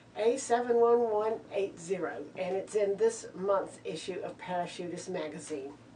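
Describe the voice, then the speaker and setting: A woman speaks with lively intonation at a moderate pace. Noticeable background noise runs beneath her voice. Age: 60s. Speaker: novice skydiver. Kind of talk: oral history interview. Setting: drop zone. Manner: halting.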